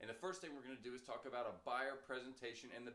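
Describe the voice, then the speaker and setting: With audible room echo around him, a man of medium pitch speaks in an animated tone. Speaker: real estate trainer. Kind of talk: training lecture. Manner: fast.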